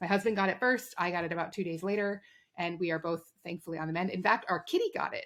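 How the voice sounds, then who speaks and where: A woman at medium pitch, very fast pace and fairly even intonation. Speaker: podcast host. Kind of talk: casual chat.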